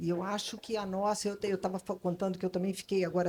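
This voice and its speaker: The speaker is a woman with a medium pitch. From Brazil, Rio / São Paulo / Salvador. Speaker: advertising creative consultant. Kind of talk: panel discussion. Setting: stage with audience at literary festival. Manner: hesitant, many fillers.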